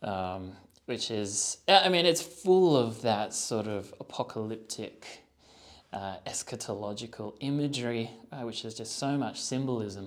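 A man's ordinary speaking voice at a medium pitch, with lively intonation and big swings in loudness. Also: fairly slow pace. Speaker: podcast host. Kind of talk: interview conversation.

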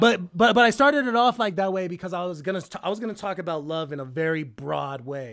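Very wide pitch swings mark this very fast-paced voice, captured on a very clean recording with a silent background. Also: man, high pitch for a man. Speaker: rapper. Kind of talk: casual chat with friends.

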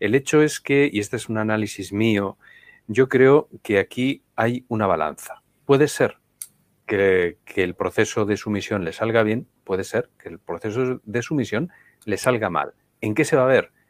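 In a Spanish accent, a man speaks fairly slowly at a medium pitch with ordinary pitch variation, recorded dry and close with no echo. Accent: Spanish accent liked by viewers. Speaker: political commentator. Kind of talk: live-streamed political talk show.

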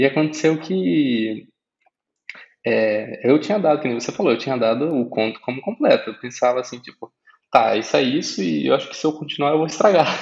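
A man with a plain, everyday voice speaks at a fairly quick pace in a medium pitch, his intonation lively. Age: 20s. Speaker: graphic designer and debut novelist. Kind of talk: casual interview.

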